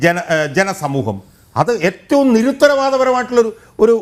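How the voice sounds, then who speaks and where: On a very clean recording with a silent background, a man with a high voice speaks in an animated tone with lively intonation. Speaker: political commentator. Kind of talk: TV panel debate. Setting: TV studio.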